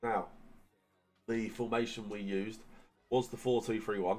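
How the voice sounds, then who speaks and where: A man speaks with music playing in the background. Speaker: gaming YouTuber. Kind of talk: gaming tutorial. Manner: casual, filler-heavy.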